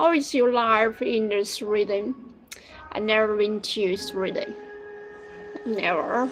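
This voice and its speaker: With a Chinese accent, a woman talks at a very slow pace, leaving long, frequent pauses while music plays behind her. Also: fairly high pitch for a woman, lively intonation. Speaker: live streamer for a machinery seller. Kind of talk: casual live stream chat with viewers. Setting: live stream. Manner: halting, repetitive.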